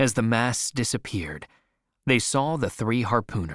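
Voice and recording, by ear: Natural-voiced reading aloud, background quiet.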